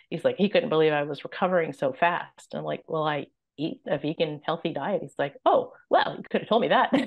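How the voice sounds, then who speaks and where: Talking at a fairly quick pace, a woman with an ordinary speaking voice uses lively intonation at a fairly low pitch. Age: 60s. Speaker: weight loss client sharing her story. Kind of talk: podcast interview.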